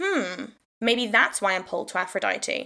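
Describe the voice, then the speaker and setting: With a South Wales accent, this bright, sharp voice keeps a fairly even intonation on a very clean recording with a silent background. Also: woman. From South Wales, Swansea. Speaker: podcast host and witchcraft teacher. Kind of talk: casual solo talk. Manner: rambling, hesitant with fillers.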